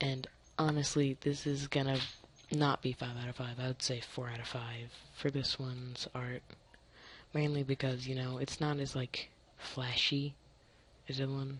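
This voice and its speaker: The speaker goes at a moderate pace, with long, frequent pauses. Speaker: card review YouTuber. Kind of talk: screen-recorded review. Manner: casual, filler-heavy.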